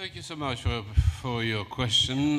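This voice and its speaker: Amid audible room echo and noticeable background noise, a man talks with ordinary pitch variation. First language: Romanian. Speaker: academic conference panelist. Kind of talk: panel Q&A answer. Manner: halting.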